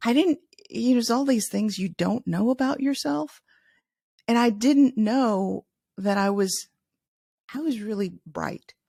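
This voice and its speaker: A woman with an American accent, fairly high-pitched and somewhat breathy, lively in intonation, with long, frequent pauses and a dry, close sound with no echo. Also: very clean recording, silent background. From US Midwest, Chicago. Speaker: leadership author. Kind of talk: interview.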